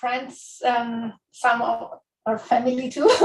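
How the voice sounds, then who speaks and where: Speaking very slowly, a woman uses a high pitch and an Italian accent. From Italy, island of Giglio, Tuscany. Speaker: author. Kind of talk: book talk. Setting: bookstore event with live audience.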